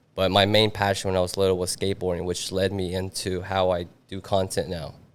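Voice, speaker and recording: In a slight non-native accent, a man speaks fairly quickly with a very deep, low pitch and monotone, flat intonation. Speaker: videographer. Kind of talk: casual podcast interview.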